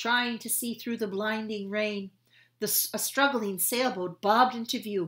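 Fairly even intonation in plain reading aloud

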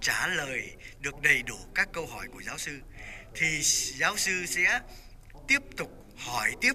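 Over light background noise, a man talks at a very slow pace in a high pitch that swings very widely. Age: 80s+. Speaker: former law student, memorial organizer; former student remembering a professor. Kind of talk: memorial speech. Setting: church memorial event. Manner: hesitant with filler sounds. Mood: warm, reminiscing. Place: church. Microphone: handheld.

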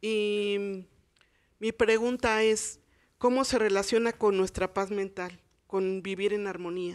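A woman's monotone, flat speech at a very slow pace over a quiet background. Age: 60s. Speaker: audience member. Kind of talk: audience question. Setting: live TV studio audience. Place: studio. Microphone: handheld.

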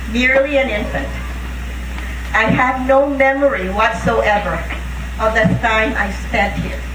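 There's a woman talking. Background noise is clearly noticeable throughout. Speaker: speaker. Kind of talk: memorial speech. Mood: solemn, emotional. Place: open country. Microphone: podium.

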